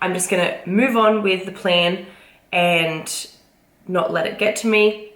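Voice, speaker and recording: A woman of medium pitch speaks with fairly even intonation amid audible room echo. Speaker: vlogger and fitness competitor. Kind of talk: casual vlog talk to camera.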